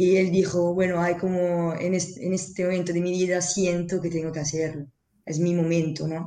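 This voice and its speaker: In an Italian accent, a woman speaks at a moderate pace with a dark, mellow tone, fairly low pitch, and monotone, flat intonation. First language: Italian (speaking Spanish). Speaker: interpreter and association member. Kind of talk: interview.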